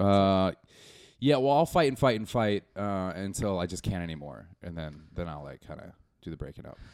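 The recording is very clean, with a silent background. A man speaks at a very deep, low pitch with lively intonation. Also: moderate pace, big swings in loudness. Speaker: stand-up comedian. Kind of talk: casual chat. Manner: rambling.

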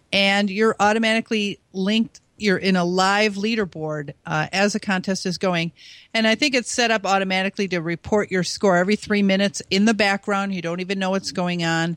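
A woman with an ordinary speaking voice and an American accent, at medium pitch and a fairly quick pace, with fairly even intonation and hardly any pauses, in a very clean, dry, close recording with no echo and a silent background. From US Midwest. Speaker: ham radio DXer and contester. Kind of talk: casual interview.

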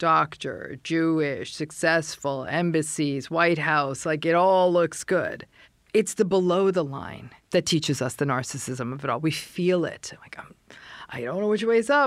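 A woman with an ordinary speaking voice speaks fairly slowly at a fairly low pitch with ordinary pitch variation, in a very clean recording with a silent background. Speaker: podcast host and psychologist. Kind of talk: casual interview chat.

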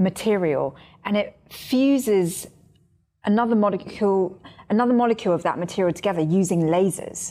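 In a very clean recording with a silent background, a woman with a normal speaking voice speaks at medium pitch with lively intonation. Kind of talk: scripted podcast banter and interview.

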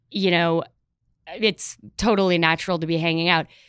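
A woman with a Midwestern American accent speaks at a moderate pace in a bright, sharp tone. The recording is very clean, with a silent background. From Chicago, US Midwest. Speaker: comedy writer and sketch performer. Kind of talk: casual chat.

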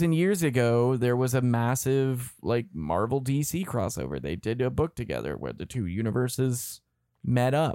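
On a very clean recording with a silent background, a man with a dark, mellow tone speaks at medium pitch and a fairly slow pace, his intonation lively. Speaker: comic book podcast host. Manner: joking.

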